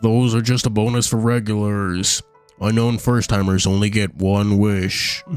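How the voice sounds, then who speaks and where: Faint music plays behind a man doing a put-on character voice at a fairly low pitch. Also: moderate pace. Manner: dismissive, businesslike.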